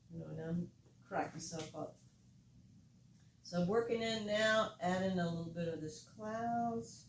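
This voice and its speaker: Long, frequent pauses in a woman's fairly slow, somewhat breathy speech, fairly low in pitch with ordinary pitch variation. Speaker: art teacher. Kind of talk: painting tutorial. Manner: relaxed.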